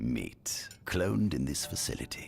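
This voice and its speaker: Using a put-on character voice, a man speaks with a very deep, low pitch at a moderate pace. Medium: video game. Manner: excitable, rambling.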